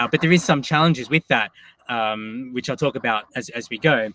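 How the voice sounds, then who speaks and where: In an Australian accent, a man talks at a fairly quick pace with a medium pitch, the sound dry and close with no echo. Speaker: tech company executive and science educator. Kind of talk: conference talk.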